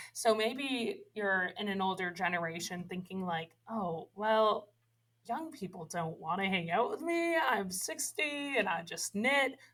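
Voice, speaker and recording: The speaker talks at a fairly slow pace with an American accent. The pitch swings very widely. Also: woman, medium pitch for a woman. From Massachusetts. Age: 20s. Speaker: church family ministry leader. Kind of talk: podcast interview. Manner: animated.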